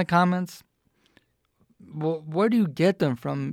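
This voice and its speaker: Man with an American accent and fairly high pitch at a moderate pace, in a very clean recording with a silent background and a dry, close sound with no echo. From US South, Atlanta. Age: 20s. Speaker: podcast host. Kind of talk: solo commentary monologue. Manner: animated.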